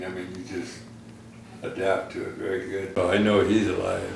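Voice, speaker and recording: There's audible room echo and noticeable background noise as a man with an American accent speaks at a fairly low pitch. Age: 90s. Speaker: war veteran. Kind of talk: oral history interview. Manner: halting.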